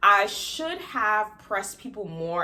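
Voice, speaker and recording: A woman speaks in an animated, bright, sharp tone with an American accent and very wide pitch swings. Audible room echo surrounds her voice. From Florida, US. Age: 20s. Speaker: vlogger. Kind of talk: casual vlog talk to camera. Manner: fast.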